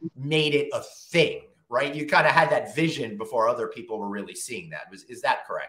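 At a fairly quick pace, a man speaks with audible room echo over a quiet background. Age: 50s. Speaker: podcast host; podcast host interviewer. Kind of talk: interview.

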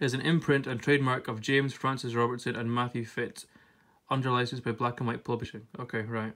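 Someone talks at a very fast pace in a monotone, flat intonation. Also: man, medium pitch for a man. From Scotland. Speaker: YouTuber. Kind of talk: casual vlog with reading aloud. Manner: giggly, laughs often; halting, many fillers.

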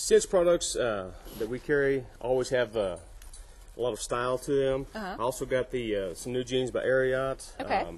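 His intonation is lively as the man speaks at a moderate pace. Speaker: guest. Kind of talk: interview answer. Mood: light, joking. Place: studio.

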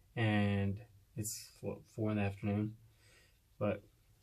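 Against a quiet background, a man speaks in a dark, mellow tone that is somewhat breathy, with monotone, flat intonation. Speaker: hunting vlogger. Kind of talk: casual vlog. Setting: outdoors. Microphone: phone near.

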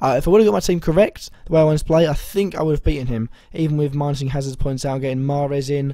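A man speaks at a fast pace in a medium-pitched voice with a dark, mellow tone and fairly even intonation.

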